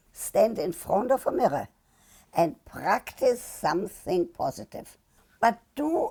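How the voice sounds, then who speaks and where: A woman speaks very slowly with a dark, mellow tone, vocal fry, and very wide pitch swings. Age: 80s+. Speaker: sex therapist and media personality. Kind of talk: interview answer.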